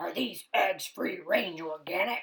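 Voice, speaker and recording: Putting on a character voice, a woman growls in a stern, grumpy tone at a fairly slow pace. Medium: read story.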